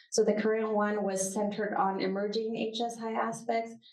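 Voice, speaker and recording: In a room with audible echo, a woman speaks at a fairly high pitch with monotone, flat intonation. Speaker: university professor and research center director. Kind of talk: conference talk with Q&A. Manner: fast.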